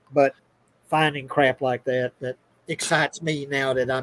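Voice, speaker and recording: Recorded with a dry, close sound and no echo, this man's voice sits fairly high. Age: 50s. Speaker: podcast panelist. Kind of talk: casual chat. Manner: halting.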